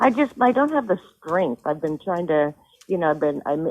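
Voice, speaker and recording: A woman has an unremarkable speaking voice with a fairly low pitch and a fairly quick pace. The sound is dry and close, with no echo. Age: 60s. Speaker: home seller. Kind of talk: phone call conversation.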